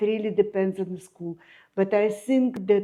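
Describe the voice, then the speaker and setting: Her tone is dark and mellow as this woman speaks at a medium pitch with fairly even intonation. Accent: Russian. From Ukraine (Kyiv). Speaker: architect and artist. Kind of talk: interview. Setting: at home.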